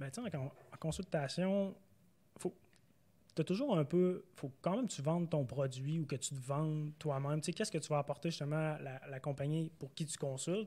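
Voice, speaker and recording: He has a dark, mellow tone with a fairly high pitch for a man. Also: ordinary pitch variation, moderate pace. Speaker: data scientist, former actuary. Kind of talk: casual interview. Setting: recorded in Montreal.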